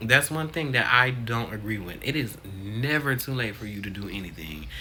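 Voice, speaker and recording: With audible room echo, a man at a medium pitch talks at a moderate pace in a bright, sharp, animated tone, his intonation lively and his loudness swinging widely. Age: 20s. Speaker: vlogger. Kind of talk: casual vlog monologue. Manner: halting.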